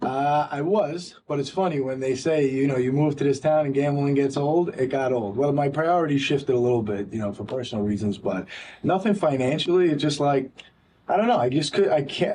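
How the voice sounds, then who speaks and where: The man has a New York accent and fairly high pitch. He speaks at a fairly quick pace with ordinary pitch variation. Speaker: podcast host. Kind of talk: interview. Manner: fast.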